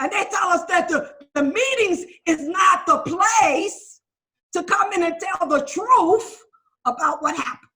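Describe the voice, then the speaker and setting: A woman projects an extremely high, bright, sharp voice in an animated tone, with lively intonation at a fairly slow pace. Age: 60s. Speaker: recovering addict sharing at a recovery meeting. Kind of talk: testimony. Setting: video call.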